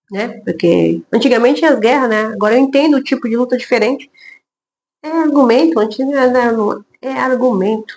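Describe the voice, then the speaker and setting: A loud woman speaks at high pitch and a fairly quick pace with ordinary pitch variation. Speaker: lawyer. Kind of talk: casual talk to camera about work experience.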